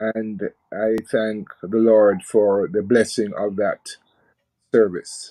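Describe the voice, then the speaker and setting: Very slowly, a man speaks in a dark, mellow tone at a fairly low pitch with monotone, flat intonation. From Jamaica. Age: 70s. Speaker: preacher. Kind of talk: radio interview. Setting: live radio.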